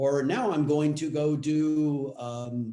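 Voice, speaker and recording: A man with a fairly high pitch and a dark, mellow tone. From US West Coast, Los Angeles area. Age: 60s. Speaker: actor. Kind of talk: interview.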